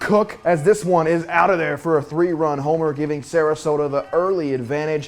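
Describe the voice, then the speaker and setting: A man at a fairly high pitch and a moderate pace, amid noticeable background noise. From Kentucky. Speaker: sports anchor and reporter. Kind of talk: high school sports play-by-play highlight narration. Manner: energetic, punchy, quippy.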